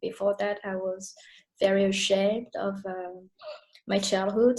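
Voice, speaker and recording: Somewhat breathy and dark, mellow in tone, a woman at a medium pitch speaks at a moderate pace with fairly even intonation. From Paris, France. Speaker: yoga teacher. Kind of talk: interview answer.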